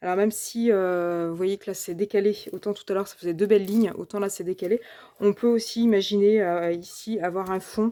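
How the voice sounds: The clip has a natural reading voice. It is read through in that manner.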